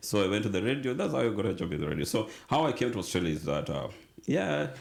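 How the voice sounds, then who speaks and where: Audible room echo surrounds a man with a Kenyan accent who talks at a very fast pace, his fairly low pitch making very wide swings. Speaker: radio manager and TV producer. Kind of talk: interview. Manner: halting.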